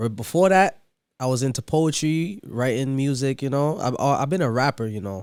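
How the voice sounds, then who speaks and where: With an American accent, a man speaks at a moderate pace in an unremarkable speaking voice with lively intonation. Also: medium pitch for a man. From New York, Brooklyn. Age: 20s. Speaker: DJ. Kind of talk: casual chat.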